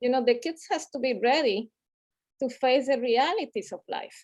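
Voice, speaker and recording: In a Latin American accent, a woman talks at a moderate pace with a high pitch, in a dry, close sound with no echo. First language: Spanish. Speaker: community health advocate. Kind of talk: panel discussion. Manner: halting, many fillers.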